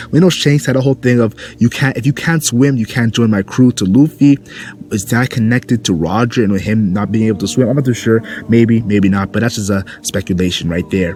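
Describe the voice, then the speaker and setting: Noticeable background noise sits behind a man whose pitch rises and falls in an ordinary way. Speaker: anime commentary youtuber. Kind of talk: casual video commentary. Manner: animated.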